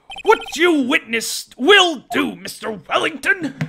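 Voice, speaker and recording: The voice sits at a high pitch. The pace is fairly slow. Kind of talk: comic game voice acting. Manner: impatient, authoritative.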